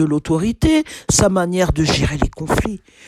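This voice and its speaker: A woman is speaking. Her pace is very slow. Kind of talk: sermon-style teaching. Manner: loud; repetitive, some stammering.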